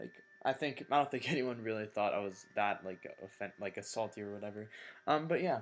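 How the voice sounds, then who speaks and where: A quiet man speaks at a fairly quick pace with medium pitch. His pitch variation is ordinary, and music plays in the background. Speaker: gamer. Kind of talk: casual gaming commentary.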